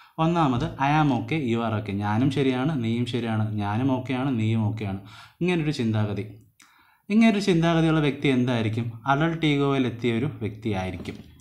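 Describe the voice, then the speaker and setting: A man at a medium pitch speaks with lively intonation. Audible room echo surrounds his voice. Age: 20s. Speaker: online teacher. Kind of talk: lecture. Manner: conversational.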